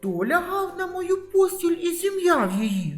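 Over faint background music, a put-on character voice bellows at a fairly slow pace. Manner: roaring, angry.

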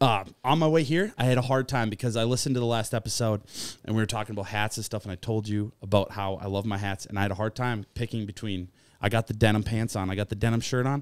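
The delivery comes at a very fast pace. Its intonation stays fairly even. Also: man, fairly low pitch for a man, quiet background, dry sound with no echo. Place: studio. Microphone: studio mic.

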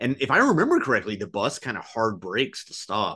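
A man's fairly low-pitched voice with a bright, sharp tone and an American accent, at a moderate pace against a quiet background. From United States. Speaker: film podcast co-host and comedian; film podcast co-host, comedian. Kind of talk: casual chat. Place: home room. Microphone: webcam.

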